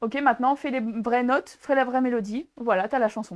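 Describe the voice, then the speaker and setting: At a moderate pace, the delivery carries an animated tone. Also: woman. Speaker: talk show co-host. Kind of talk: casual chat.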